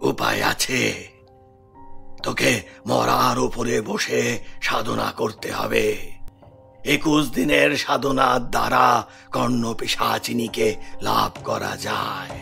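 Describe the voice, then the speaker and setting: This man uses a cartoonish character voice that is raspy, at a very slow pace. Clear music plays in the background. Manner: commanding.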